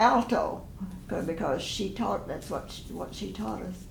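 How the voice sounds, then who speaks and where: Over noticeable background noise, a woman with a medium pitch speaks with an American accent. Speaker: retired one-room school teacher. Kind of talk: oral history interview answer.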